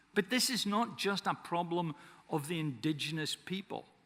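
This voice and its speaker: A high-pitched man with a Scottish accent speaks at a moderate pace with lively intonation. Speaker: forester and conference speaker. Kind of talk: conference speech.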